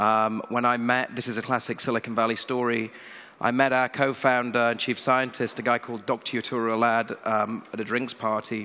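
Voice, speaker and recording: Here a man talks with a British accent at a fairly quick pace. His tone is bright and sharp, his intonation monotone and flat. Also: medium pitch for a man. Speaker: tech company CEO. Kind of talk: conference keynote. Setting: stage with audience.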